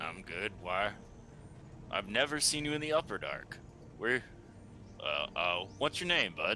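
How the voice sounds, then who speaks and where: Using a put-on character voice at a medium pitch, a man talks at a moderate pace with long, frequent pauses over clear background noise. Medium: actual play. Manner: casual, folksy.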